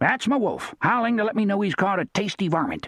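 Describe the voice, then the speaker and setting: Put on as a character voice, this fairly high-pitched delivery moves at a fairly quick pace. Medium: read story. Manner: blunt, terse, matter-of-fact.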